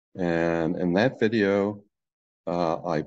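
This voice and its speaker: A man's very deep, low voice with a dark, mellow tone. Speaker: presenter. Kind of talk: lecture. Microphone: webcam.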